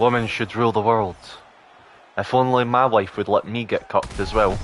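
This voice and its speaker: A man's medium-pitched voice in a British accent, at a moderate pace with monotone, flat intonation. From Britain. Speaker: gaming livestreamer. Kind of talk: casual livestream chat while gaming.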